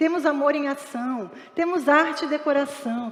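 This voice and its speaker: A woman's high voice with ordinary pitch variation over noticeable background noise. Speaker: pastor. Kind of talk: sermon. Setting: church. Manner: fast.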